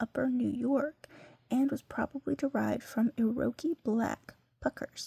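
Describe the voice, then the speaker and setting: Soft-spoken and high-pitched, a woman speaks with a dark, mellow tone in a dry, close sound with no echo. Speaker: ASMR creator. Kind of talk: ASMR catalog read-through with casual commentary.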